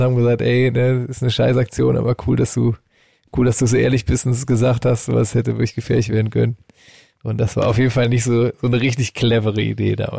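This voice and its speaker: Talking at a very fast pace, a man with a medium-pitched, somewhat breathy voice and a dark, mellow tone keeps a monotone, flat intonation and very even loudness. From rural Germany (village). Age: 40s. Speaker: band member and podcast co-host. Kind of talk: casual chat.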